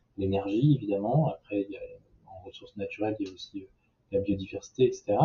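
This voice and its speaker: A man speaks at a fairly low pitch in a somewhat breathy voice. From southern France. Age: 30s. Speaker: social entrepreneur. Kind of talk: interview. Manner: hesitant with fillers.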